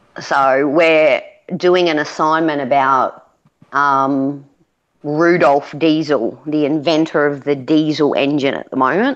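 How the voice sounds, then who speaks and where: A woman speaks with an Australian accent in a very deep, low pitch. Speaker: parent homeschooling her daughter, chat guest. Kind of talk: casual chat.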